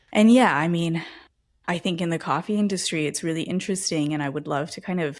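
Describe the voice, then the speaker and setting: Recorded very cleanly against a silent background, a woman with an American accent speaks at a fairly low pitch for a woman. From Los Angeles, California. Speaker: podcast host. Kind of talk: casual interview conversation. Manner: animated.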